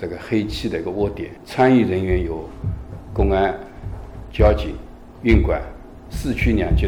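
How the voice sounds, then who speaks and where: Music plays in the background as a man talks, with audible room echo. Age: 50s. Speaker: city law enforcement squad leader. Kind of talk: interview.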